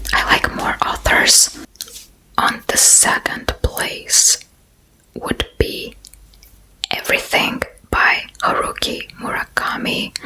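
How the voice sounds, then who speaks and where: Whispering over noticeable background noise, a woman speaks at a very slow pace with long, frequent pauses. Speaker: ASMR creator. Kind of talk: ASMR Q&A talking to camera. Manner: whispered, soft-spoken.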